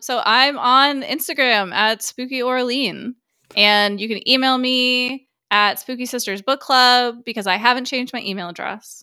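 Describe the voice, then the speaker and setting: A woman's high-pitched, bright, sharp voice at a moderate pace, fairly even in intonation, on a very clean recording with a silent background. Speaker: horror podcast co-host. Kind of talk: casual chat.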